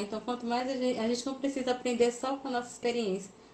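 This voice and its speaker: A woman's high voice with fairly even intonation, over noticeable background noise. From Goiás, Brazil (Planaltina). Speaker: crochet youtuber and interviewer. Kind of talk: casual interview on a live stream. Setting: live stream.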